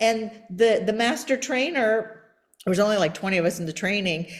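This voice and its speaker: Speaking at a fairly quick pace, the woman has a fairly high pitch and lively intonation. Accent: slight Persian. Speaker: podcast host. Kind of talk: interview podcast conversation.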